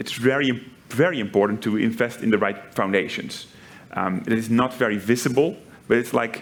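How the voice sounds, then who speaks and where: This man talks at a moderate pace with a Dutch accent. His pitch is medium, with ordinary variation. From Netherlands. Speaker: tech company executive. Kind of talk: panel interview. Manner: frequent fillers and repetitions.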